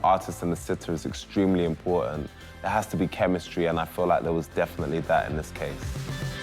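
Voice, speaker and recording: A man talks at a very fast pace with hardly any pauses, his pitch very deep and low. Music plays in the background. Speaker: rapper, TV presenter. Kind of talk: casual talk to camera.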